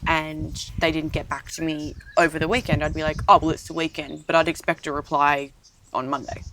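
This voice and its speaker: A woman with an Australian accent talks at a fairly quick pace in a very deep, low voice. Her intonation stays fairly even. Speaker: podcast co-host, assistant. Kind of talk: casual chat.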